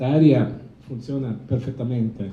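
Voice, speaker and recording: In a medium pitch with an Italian accent, a man speaks amid noticeable background noise and audible room echo. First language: Italian (speaking Spanish). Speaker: opera conductor. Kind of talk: press conference. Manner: halting.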